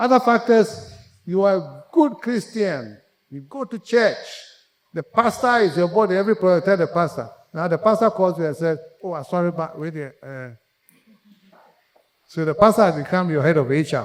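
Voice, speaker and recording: With a Ghanaian accent, a man speaks at a high pitch and a moderate pace, his intonation lively and his loudness swinging widely, with long, frequent pauses. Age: 70s. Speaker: conference speaker, entrepreneur. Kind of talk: motivational talk. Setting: conference stage with audience.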